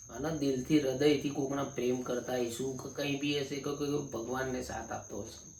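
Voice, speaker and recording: A man with a medium-pitched voice speaks in a flat monotone. His loudness swings widely over noticeable background noise. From Gujarat, India. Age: 30s. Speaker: vlogger. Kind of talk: personal monologue. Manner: casual, repetitive filler.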